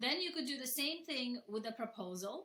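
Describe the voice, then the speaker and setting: A woman speaks with a non-native accent at a moderate pace. Her pitch is high. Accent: noticeable non-native. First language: not English. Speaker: software founder and florist. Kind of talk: webinar presentation. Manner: casual, conversational with fillers.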